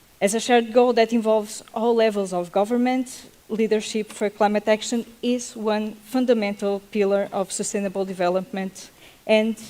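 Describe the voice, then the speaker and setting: A woman with a non-native accent speaks at a moderate pace in a fairly high pitch, her intonation monotone and flat. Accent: non-native English accent, self-noted. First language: Portuguese. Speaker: panel moderator. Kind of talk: panel moderation. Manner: halting.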